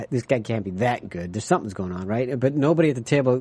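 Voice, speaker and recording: A man with an American accent. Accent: New Jersey-sounding today. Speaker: TV after-show host. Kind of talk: casual chat. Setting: studio. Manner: halting.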